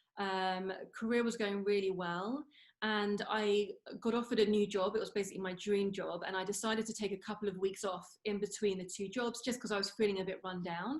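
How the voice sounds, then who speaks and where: With a London accent, a woman speaks. Her intonation stays fairly even. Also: medium pitch for a woman, fairly quick pace. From London, England. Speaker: former radio entertainment reporter, CFS recovery coach. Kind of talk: interview, personal recovery story.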